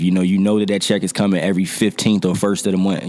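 A man with an American accent and a fairly low pitch, over noticeable background noise. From Norfolk, Virginia. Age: 30s. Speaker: entrepreneur and recording artist. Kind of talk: casual interview.

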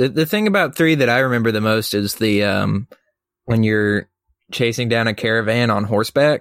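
With an ordinary speaking voice, a man talks at a moderate pace, his medium pitch showing ordinary variation and his loudness very even. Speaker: podcast co-host, student. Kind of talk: casual chat.

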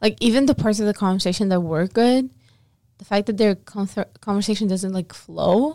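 A woman with a slight non-native accent speaks at a medium pitch, her tone dark and mellow. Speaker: podcast co-host. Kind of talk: casual chat.

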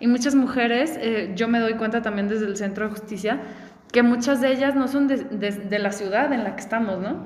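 A woman speaks in a Mexican accent at a fairly high pitch and moderate pace with fairly even intonation. Audible room echo and noticeable background noise surround her. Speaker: podcast host. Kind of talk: casual chat. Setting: recorded in person in a sparsely furnished house. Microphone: echo in the room.

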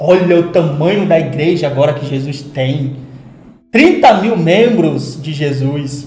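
Noticeable background noise and audible room echo surround a man speaking at a very slow pace in a fairly high pitch with ordinary pitch variation. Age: 20s. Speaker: pastor and psychologist. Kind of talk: casual chat.

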